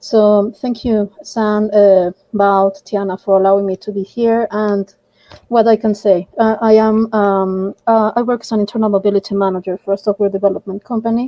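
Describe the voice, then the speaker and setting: Speaking with a Mexican accent in a monotone, flat delivery, a woman has a dark, mellow tone at medium pitch, recorded with a dry, close sound and no echo. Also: moderate pace. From Mexico. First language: Spanish. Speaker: project volunteer, internal mobility manager. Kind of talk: online group voice chat.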